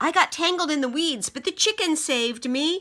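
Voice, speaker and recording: In a put-on character voice, a woman speaks at a moderate pace and an extremely high pitch. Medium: read story. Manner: eager, enthusiastic.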